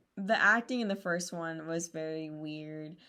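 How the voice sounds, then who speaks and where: A woman speaks at a fairly slow pace in a bright, sharp tone. The recording is very clean, with a silent background. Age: 18. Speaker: podcast co-host, pre-nursing student. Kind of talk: casual chat.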